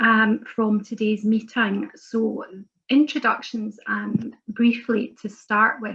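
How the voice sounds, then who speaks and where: A woman with a Scottish accent speaks at a fairly high pitch in a monotone, flat intonation. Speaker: member of parliament, webinar chair. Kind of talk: webinar moderation. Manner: hesitant, many fillers.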